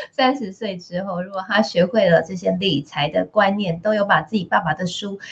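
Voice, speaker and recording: Somewhat breathy, a woman talks at a moderate pace with a medium pitch. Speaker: radio host. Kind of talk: radio interview. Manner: animated.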